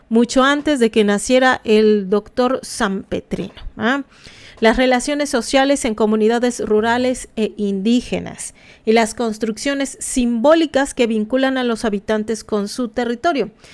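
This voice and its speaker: Fairly even in intonation, a woman's fairly high voice proceeds at a fairly slow pace. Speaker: anthropology commentator. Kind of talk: live stream commentary. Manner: halting, many fillers; casual.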